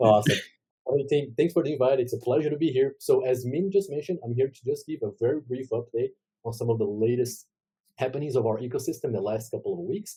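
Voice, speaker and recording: Speaking at a very fast pace, a man sounds somewhat breathy with a dark, mellow tone. His pitch is medium, with ordinary variation. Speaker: blockchain ecosystem correspondent. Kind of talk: news update segment. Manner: casual, filler-heavy.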